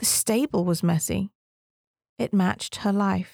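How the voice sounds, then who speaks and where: Recorded very cleanly with a silent background and a dry, close sound with no echo, a woman speaks at a medium pitch and a fairly slow pace. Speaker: reader of article. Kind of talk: reading aloud. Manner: dramatic, vivid narration.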